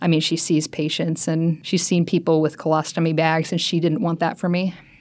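In a very clean recording with a silent background, a woman with a normal speaking voice talks fairly quickly at a fairly low pitch. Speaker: medical student and patient. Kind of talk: personal testimony.

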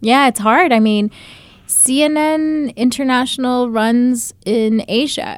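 With an American accent, a woman speaks at a fairly slow pace in an ordinary speaking voice. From Utah, US, raised by Bangladeshi family. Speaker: journalist and filmmaker. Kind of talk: interview.

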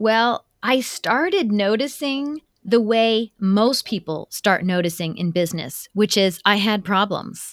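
A woman with a Midwestern American accent speaks at a fairly high pitch with lively intonation and hardly any pauses. The recording is very clean with a silent background and a dry, close sound with no echo. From US Midwest, Ohio. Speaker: cross-cultural consultant and author. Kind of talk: interview conversation.

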